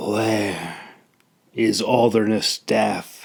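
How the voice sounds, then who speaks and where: A man puts on a raspy character voice with a fairly low pitch. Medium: read story. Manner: cold, commanding.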